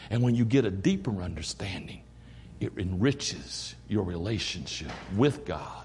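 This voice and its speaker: A man's fairly low, animated voice with an eastern North Carolina accent, lively intonation and vocal fry at a fairly slow pace. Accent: Southern US, eastern North Carolina. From US South, eastern North Carolina. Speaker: associate pastor, visiting preacher. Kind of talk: sermon. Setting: church. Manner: animated, preacherly, joking.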